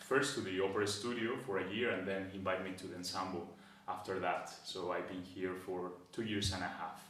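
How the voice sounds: A man with a bright, sharp tone and low pitch, little pitch movement, a moderate pace and strong room echo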